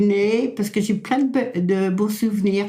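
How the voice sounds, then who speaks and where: This woman's voice sits at a fairly high pitch. Her intonation stays fairly even. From France, Loire-Atlantique (Pays de Retz). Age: 80s+. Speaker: elderly local resident. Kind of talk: oral history interview. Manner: halting, repetitive.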